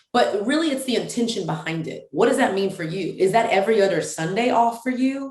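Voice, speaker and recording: A woman's fairly high, animated voice with lively intonation at a fairly quick pace and hardly any pauses, with audible room echo and noticeable background noise. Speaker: women's ministry founder. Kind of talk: casual chat.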